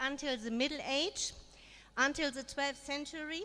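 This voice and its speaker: With a German accent, a woman speaks in a raised, projected voice at a high pitch, with ordinary pitch variation and a fairly slow pace. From Germany. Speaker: education consultant. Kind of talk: conference presentation. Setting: forum with audience.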